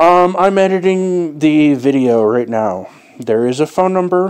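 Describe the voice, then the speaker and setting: A man speaking at a very slow pace over a quiet background. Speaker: vlogger. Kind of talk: casual vlog chat. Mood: relaxed, amused. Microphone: earbuds.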